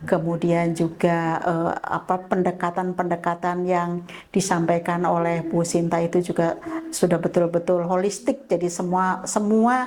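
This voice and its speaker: This woman has a normal speaking voice, fairly low in pitch, and she talks at a fairly slow pace. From Indonesia, Tegal (Central Java). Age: 60s. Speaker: health camp participant. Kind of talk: testimony.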